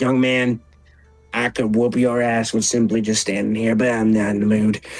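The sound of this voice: In a put-on character voice, a man speaks at medium pitch and a moderate pace with monotone, flat intonation and very even loudness, while faint music plays in the background.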